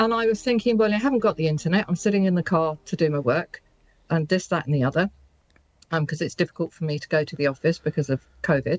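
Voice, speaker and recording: A woman with a fairly low pitch speaks very fast. Her intonation is lively. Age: 60s. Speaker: business owner. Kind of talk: radio interview.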